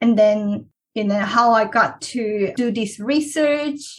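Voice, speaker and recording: A woman speaks with a Korean accent. Her pitch is fairly high. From South Korea. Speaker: PhD researcher. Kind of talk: interview.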